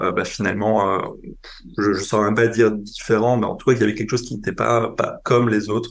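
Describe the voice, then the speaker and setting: At a fairly quick pace, the speaker uses an ordinary speaking voice. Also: man. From eastern France, Franco-German border. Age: 30s. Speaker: public health researcher and podcaster. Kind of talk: interview testimony.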